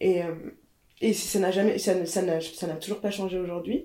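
A woman's medium-pitched voice, dark and mellow in tone, in a monotone, flat delivery at a fairly slow pace. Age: 30s. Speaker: fashion journalist. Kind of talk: casual chat. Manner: halting.

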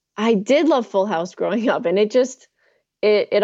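A woman with an American accent at a fairly quick pace, her pitch varying in an ordinary way. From New Jersey. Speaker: primate sanctuary program director. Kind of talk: casual interview chat. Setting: remote link.

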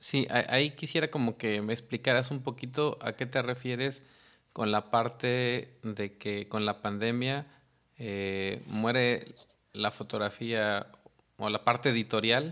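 At a medium pitch, a man talks very slowly. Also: fairly even intonation. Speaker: podcast host and photographer. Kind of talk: interview.

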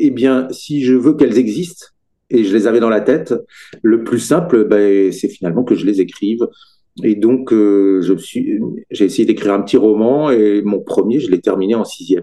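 Its tone is dark and mellow. The pacing stays moderate. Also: man, medium pitch for a man, ordinary pitch variation. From Brittany, France. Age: 50s. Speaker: children's author. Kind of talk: interview.

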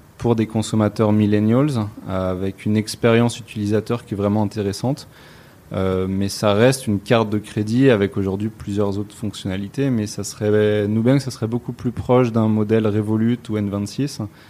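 A man's dark, mellow voice in a monotone, flat delivery. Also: fairly low pitch for a man, moderate pace. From France. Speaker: entrepreneur. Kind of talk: interview. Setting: office. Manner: hesitant, many fillers.

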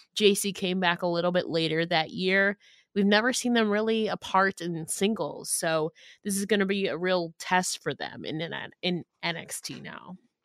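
An ordinary speaking voice at a moderate pace, fairly even in intonation, with a dry, close sound, no echo, and a very clean recording over a silent background. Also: woman, medium pitch for a woman. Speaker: podcast host, wrestling commentator. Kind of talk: casual chat.

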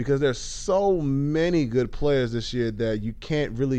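Audible room echo surrounds a man speaking in a dark, mellow tone. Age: 20s. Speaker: basketball podcast host. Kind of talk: solo podcast commentary. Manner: casual, with many fillers.

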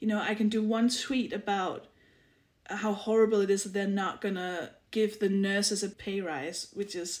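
Here a woman with a Danish accent speaks at medium pitch and a moderate pace. Her intonation stays monotone and flat. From Denmark, small village. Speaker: comedian and author. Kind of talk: casual chat.

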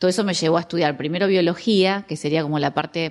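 Against a quiet background, a woman speaks fairly quickly in a fairly low, monotone voice with flat intonation. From Argentina. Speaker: biologist and biodecoding therapist. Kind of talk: interview conversation.

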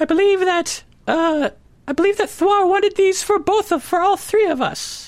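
This put-on character voice is squeaky with an extremely high pitch. It moves at a very slow pace. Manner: distinct put-on character voice.

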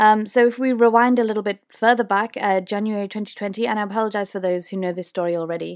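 A woman with a British accent speaks fairly quickly at a medium pitch with ordinary pitch variation, on a very clean recording with a silent background. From UK. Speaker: podcast host and tour guide. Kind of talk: casual solo Q&A monologue. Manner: filler-heavy, conversational.

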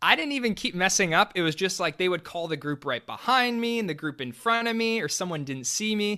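A man with a high pitch uses a raised, projected voice and a bright, sharp tone, moving at a fairly quick pace with hardly any pauses and lively intonation on a very clean recording with a silent background. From Texas, Dallas. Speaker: air force public affairs officer. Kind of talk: interview. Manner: casual, laughs often.

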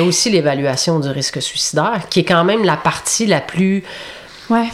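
Over noticeable background noise, a woman with a Quebec accent and a fairly low pitch speaks at a moderate pace. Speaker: youth protection clinical counsellor. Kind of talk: interview.

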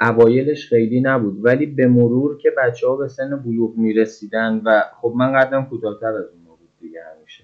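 A man with an unremarkable speaking voice talks at a fairly quick pace and medium pitch, with hardly any pauses, fairly even intonation and big swings in loudness. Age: 40s. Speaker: interviewee. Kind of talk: testimony.

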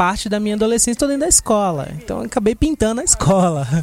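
Against noticeable background noise, a man's voice swings very widely in pitch. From Brazil, Salvador, Bahia. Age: 20s. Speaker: graffiti artist. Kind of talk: interview. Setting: studio.

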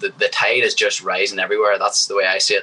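Speaking at a fairly quick pace, a man talks with a Northern Irish accent. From Northern Ireland. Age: 20s. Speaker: professional MMA fighter. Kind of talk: casual interview. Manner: confident, energetic.

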